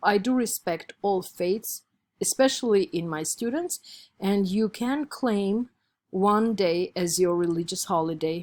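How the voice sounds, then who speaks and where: At a fairly slow pace, a woman with an Armenian accent speaks at a medium pitch with ordinary pitch variation, the sound dry and close with no echo. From Armenia, Yerevan. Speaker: college instructor. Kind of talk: lecture.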